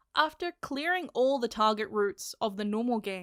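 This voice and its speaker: A woman speaks at a moderate pace with a bright, sharp tone and a fairly high pitch. The recording is very clean and dry, close with no echo, over a silent background. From Australia. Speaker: manga reviewer. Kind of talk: casual review monologue. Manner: animated.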